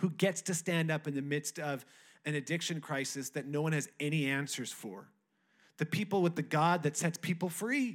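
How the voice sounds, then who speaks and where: In a very clean recording with a silent background, a man with a plain, everyday voice speaks at a moderate pace in a fairly high pitch. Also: ordinary pitch variation. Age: 30s. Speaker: pastor. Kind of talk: Pentecost Sunday church sermon, building to a rousing revival appeal. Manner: conversational, with frequent restarts and filler words; rising, rhetorical cadence with repeated 'who gets to stand up' lines.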